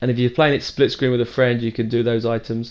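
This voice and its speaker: A man talks at a very fast pace with a British accent. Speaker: video game tutorial creator. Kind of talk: tutorial. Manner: hesitant, many fillers.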